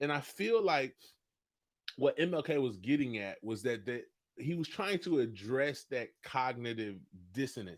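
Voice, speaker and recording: A man at medium pitch in an animated tone, with very wide pitch swings and big swings in loudness, in a very clean recording with a silent background. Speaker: coffee business owner and livestream host. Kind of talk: livestream talk. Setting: instagram live video.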